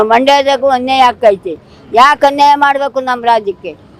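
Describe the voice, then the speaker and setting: The woman's pitch is high. Noticeable background noise can be heard behind her. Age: 80s+. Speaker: protester. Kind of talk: interview answer. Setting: outdoors. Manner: impassioned, defiant.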